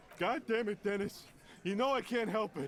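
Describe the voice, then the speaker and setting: Putting on a whiny character voice, a man speaks high for a man at a moderate pace with ordinary pitch variation, over clear background noise. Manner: pleading, complaining.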